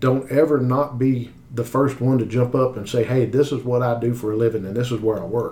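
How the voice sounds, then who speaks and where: Speaking with an Appalachian accent, a man has a dark, mellow tone that is somewhat breathy. He leaves hardly any pauses. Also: medium pitch for a man, fairly quick pace. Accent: Appalachian American. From US South, West Virginia. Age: 40s. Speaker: car sales manager. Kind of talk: interview.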